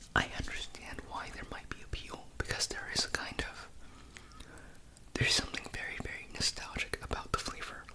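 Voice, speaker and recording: A man's whisper at a medium speed over clear background noise. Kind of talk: ASMR product review. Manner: whispered.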